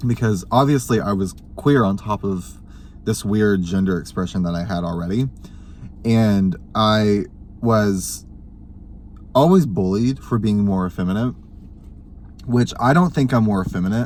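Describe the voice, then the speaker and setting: At a fairly slow pace and with long, frequent pauses, a man talks in a fairly low pitch with ordinary pitch variation. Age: 20s. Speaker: vlogger. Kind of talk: casual chat.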